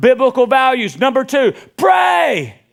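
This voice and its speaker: A man talks loudly in an animated tone with a Southern US accent. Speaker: pastor. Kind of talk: sermon.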